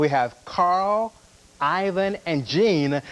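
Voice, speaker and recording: Noticeable background noise fills the recording. A man speaks with ordinary pitch variation. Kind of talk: TV weather forecast. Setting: local TV broadcast, 1990s. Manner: casual, conversational with filler 'uh'.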